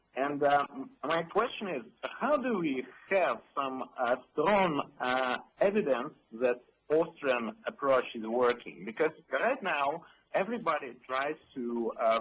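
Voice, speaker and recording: Speaking very slowly, this man has a fairly high pitch and lively intonation. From Russia. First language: Russian. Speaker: caller. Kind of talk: call-in question. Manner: halting, many fillers.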